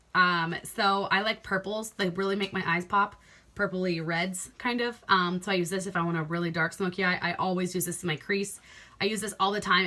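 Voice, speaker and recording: A woman talks at a fairly quick pace in a bright, sharp, animated tone. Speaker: beauty vlogger. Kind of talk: casual talk to camera. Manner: fast.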